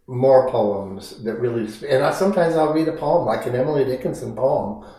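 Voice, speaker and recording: A man talks at a moderate pace with ordinary pitch variation. Noticeable background noise and audible room echo are present. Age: 70s. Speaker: poet. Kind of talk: interview. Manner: halting, with frequent repetitions.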